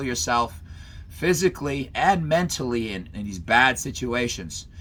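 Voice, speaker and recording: A man with vocal fry and a bright, sharp tone speaks at a medium pitch, swinging very widely up and down. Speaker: college professor and self-defense instructor. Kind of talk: online class lecture. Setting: video call. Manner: fast, energetic; casual, halting with repetitions.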